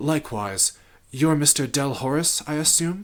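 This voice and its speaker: At a moderate pace, a man puts on a character voice with a fairly high pitch and ordinary pitch variation. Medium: read story. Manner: formal, measured, calm.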